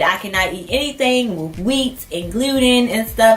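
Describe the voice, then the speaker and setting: Her intonation is lively as the woman speaks. Noticeable background noise and audible room echo fill the recording. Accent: American. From Baltimore, Maryland, US. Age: 20s. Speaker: YouTuber. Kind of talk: casual vlog monologue.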